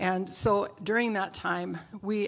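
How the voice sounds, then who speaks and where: This woman has an ordinary speaking voice, pitched medium, with fairly even intonation. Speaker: missionary. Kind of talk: interview. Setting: church.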